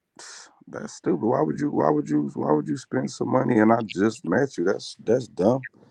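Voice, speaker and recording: A man's fairly low, dark, mellow voice with vocal fry, very wide pitch swings, big swings in loudness, a moderate pace and hardly any pauses. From Detroit, Michigan. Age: 30s. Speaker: clothing brand owner. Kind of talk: casual chat.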